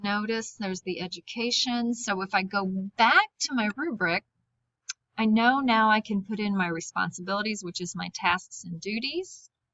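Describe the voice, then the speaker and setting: A woman with a plain, everyday voice and medium pitch talks at a moderate pace, her pitch varying in an ordinary way. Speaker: high school teacher. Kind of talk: screen-recorded tutorial.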